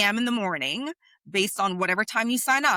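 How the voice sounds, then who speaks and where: A woman speaks with a bright, sharp, animated tone at a fairly high pitch and ordinary pitch variation, the sound dry and close with no echo. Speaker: public speaking coach and podcast host. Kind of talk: motivational podcast monologue.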